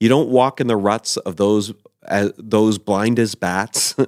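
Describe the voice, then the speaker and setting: In a very clean recording with a silent background and a dry, close sound with no echo, a man with a Canadian accent uses a normal speaking voice, fairly low in pitch, with ordinary pitch variation at a fairly slow pace. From New Brunswick, Canada. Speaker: lead pastor. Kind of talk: casual interview chat.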